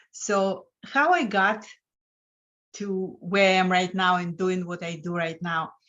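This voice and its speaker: A woman's medium-pitched voice with a Lithuanian accent, very slow and fairly even in intonation. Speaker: financial coach. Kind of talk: interview.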